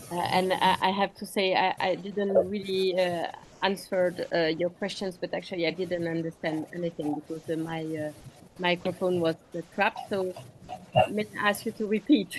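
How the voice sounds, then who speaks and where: Moderate pace from a woman in a French accent, medium in pitch, with fairly even intonation. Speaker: physician presenter. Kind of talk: online medical panel discussion.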